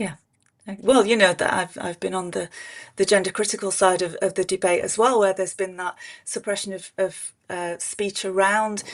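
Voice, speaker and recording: Over a quiet background, a woman speaks at a moderate pace in a medium pitch with monotone, flat intonation. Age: 50s. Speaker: political commentator. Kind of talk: panel discussion. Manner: halting, many repeated words.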